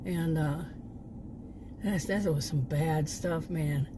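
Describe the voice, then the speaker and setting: A woman speaks at a fairly low pitch and a moderate pace. Her intonation stays fairly even. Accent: American. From Texas. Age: 60s. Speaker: vlogger, former sociology teacher. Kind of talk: casual vlog monologue. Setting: sitting in parked SUV. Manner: hesitant, many fillers and restarts.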